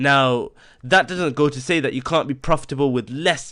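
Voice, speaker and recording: A fairly high-pitched man with ordinary pitch variation on a very clean recording with a silent background. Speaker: online course instructor. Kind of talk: tutorial. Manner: fast.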